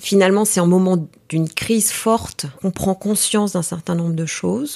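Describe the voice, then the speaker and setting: A woman speaks at medium pitch with ordinary pitch variation. Her pace is fairly slow, on a very clean recording with a silent background. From Paris, France (Greek parents). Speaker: executive and team coach. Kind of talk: interview.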